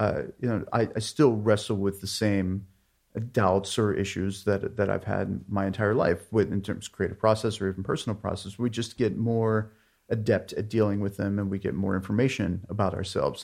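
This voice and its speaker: This man has an ordinary speaking voice. He talks at a moderate pace with fairly even intonation. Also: fairly low pitch for a man, quiet background. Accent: American. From US, Pittsburgh area, Pennsylvania. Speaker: artist and writer. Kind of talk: interview.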